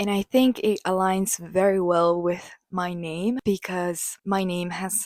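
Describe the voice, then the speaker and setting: Speaking very slowly in a Japanese accent, a woman keeps a medium pitch and a monotone, flat intonation on a very clean recording with a silent background and a dry, close sound with no echo. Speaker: podcast host. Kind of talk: casual podcast monologue.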